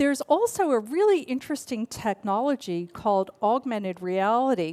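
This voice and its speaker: Speaking at a moderate pace in an American accent, the voice has very wide pitch swings in a dry, close sound with no echo. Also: woman. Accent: half Australian, half American. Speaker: futurist keynote speaker. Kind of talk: keynote speech.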